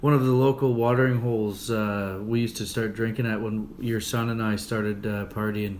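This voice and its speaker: A man with an unremarkable speaking voice and a Canadian accent, medium pitch, fairly even intonation, a fairly quick pace and hardly any pauses. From Canada. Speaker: podcast host and stand-up comedian. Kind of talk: casual interview. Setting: in person.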